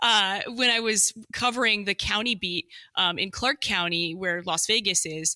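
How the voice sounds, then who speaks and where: The recording is very clean with a silent background and a dry, close sound with no echo, as a woman speaks at a moderate pace and a medium pitch with a bright, sharp tone and ordinary pitch variation. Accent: slight Midwestern. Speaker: government communications director. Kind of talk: podcast interview.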